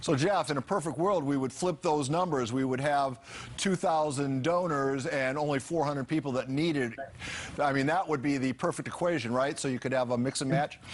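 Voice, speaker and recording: A fairly high-pitched man at a fairly quick pace, with ordinary pitch variation, very even loudness and noticeable background noise. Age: 60s. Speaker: TV news anchor. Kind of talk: live TV interview.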